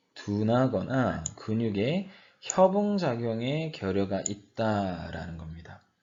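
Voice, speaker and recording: The man talks at a very slow pace. His pitch swings very widely. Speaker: university professor. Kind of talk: lecture. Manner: slower than usual today.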